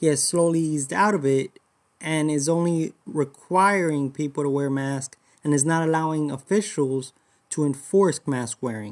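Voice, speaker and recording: Here is a man with a plain, everyday voice and a fairly high pitch. He keeps a moderate pace with ordinary pitch variation. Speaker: reporter. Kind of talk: formal newsreading. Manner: formal, measured, reporter-style.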